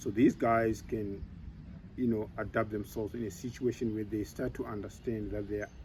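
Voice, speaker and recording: A man's fairly low, somewhat breathy voice, dark and mellow in tone, with ordinary pitch variation at a moderate pace. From Zimbabwe. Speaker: elephant manager. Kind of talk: interview monologue.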